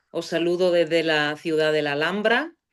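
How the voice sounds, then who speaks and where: A woman with a Bulgarian accent, fairly low in pitch, with ordinary pitch variation. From Bulgaria (Sofia). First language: Bulgarian (speaking Spanish). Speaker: philology professor. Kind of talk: interview. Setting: podcast. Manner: halting, many fillers.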